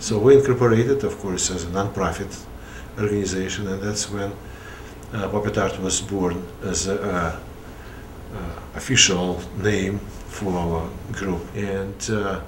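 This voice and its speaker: A man with a Russian accent speaks at a fairly slow pace in a fairly low pitch with ordinary pitch variation, over noticeable background noise and audible room echo. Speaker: puppeteer. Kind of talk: interview. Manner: halting.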